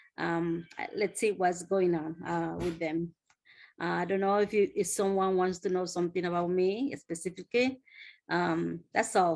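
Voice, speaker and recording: A woman with a Spanish accent and a fairly low pitch speaks at a moderate pace. Her intonation is fairly even over a quiet background. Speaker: nanny. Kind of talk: self-introduction in online meeting. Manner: halting.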